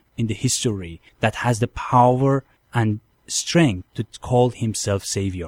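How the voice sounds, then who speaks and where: A man with a Persian accent, medium pitch and ordinary pitch variation at a moderate pace, recorded dry and close with no echo. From Iran. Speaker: convert from Islam to Christianity. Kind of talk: testimony. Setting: studio.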